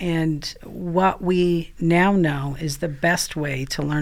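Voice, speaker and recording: In a very clean recording with a silent background, a woman with an American accent talks at a fairly low pitch with ordinary pitch variation. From Maine, US Northeast. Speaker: prevention science expert and former teacher. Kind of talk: interview conversation.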